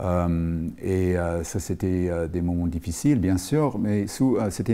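A man's very deep, low voice with a dark, mellow tone, at a very slow pace. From Rhodesia (Zimbabwe). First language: English (speaking French). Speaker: film school professor. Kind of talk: TV interview. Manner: halting, many hesitations. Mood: calm, reflective storytelling. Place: studio.

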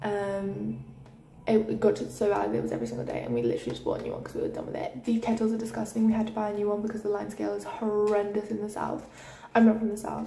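A woman at a very fast pace, with audible room echo and light background noise. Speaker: university student. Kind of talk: casual room tour vlog. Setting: indoors in a student room. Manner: rambling, chatty. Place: home room. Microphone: phone near.

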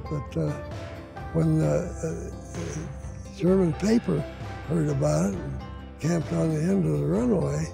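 Over clear background music, a man speaks with a dry sound that has no echo. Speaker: retired Air Force pilot, war veteran. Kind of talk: interview answer. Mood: fond, grateful recollection. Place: garden.

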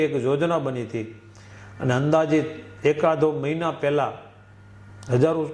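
With an unremarkable speaking voice, a man talks at a fairly high pitch and with fairly even intonation. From Kutch, Gujarat (Ratnal village). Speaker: former volunteer activist. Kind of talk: testimony.

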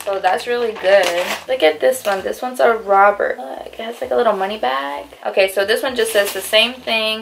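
Speaking at a moderate pace with hardly any pauses, a woman uses lively intonation and a fairly high pitch, with light background noise. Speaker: vlogger. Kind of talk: casual vlog chat. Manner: animated. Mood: cheerful, excited. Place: home room. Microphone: phone near.

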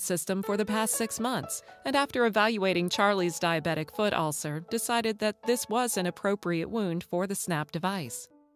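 Against music in the background, a woman speaks at a medium pitch with a warm tone. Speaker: voice actor. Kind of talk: corporate narration, medical product explainer. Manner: warm, storytelling.

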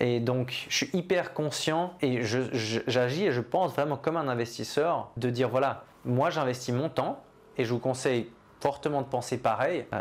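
A man with a medium pitch speaks at a fairly slow pace, with ordinary pitch variation and very even loudness. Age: 30s. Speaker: entrepreneur and online business coach; online business coach. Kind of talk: vlog-style monologue answering a question. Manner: hesitant with fillers and repetitions. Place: office.

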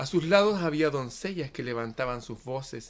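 In a dramatic tone, a man delivers his lines at a fairly slow pace. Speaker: poet reading aloud. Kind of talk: poetic reading aloud, solemn and dreamlike, in a devotional tone; casual greeting and commentary to viewers. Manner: slow, measured and dramatic, with a rhythmic, hushed, reverent delivery. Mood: calm, solemn. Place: home room. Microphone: phone near.

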